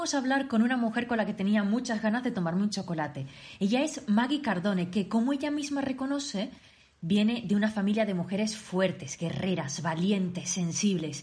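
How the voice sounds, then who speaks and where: Speaking at a moderate pace, a woman uses an ordinary speaking voice at medium pitch with lively intonation. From Canary Islands, Tenerife. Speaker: podcast host. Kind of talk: scripted intro; interview.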